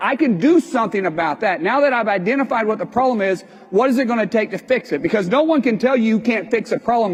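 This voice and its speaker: Noticeable background noise sits behind a man with a high pitch. He talks at a very fast pace with lively intonation. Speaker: business owner and speaker. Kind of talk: motivational talk. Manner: halting.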